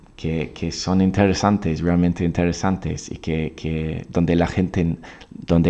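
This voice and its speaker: Here a man speaks with an English accent at a very deep, low pitch. His intonation is monotone and flat, and his pace fairly slow. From England, Oxford. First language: English (speaking Spanish). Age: 20s. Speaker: English teacher. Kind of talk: podcast monologue. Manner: halting, many fillers and repeats.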